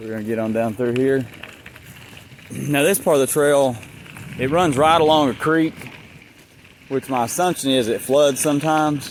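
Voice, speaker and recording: Noticeable background noise sits under speech at a moderate pace with ordinary pitch variation and long, frequent pauses. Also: man, fairly high pitch for a man. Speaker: vlogger. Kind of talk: casual vlog narration. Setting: outdoors riding a bike on a trail. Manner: bumpy, jostled speech from rough trail; casual, rambling with fillers.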